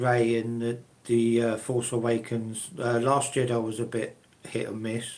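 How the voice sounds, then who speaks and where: This man speaks with a British accent. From UK. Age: 60s. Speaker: live streamer, collector. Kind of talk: live stream chat with viewers. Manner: halting, many fillers.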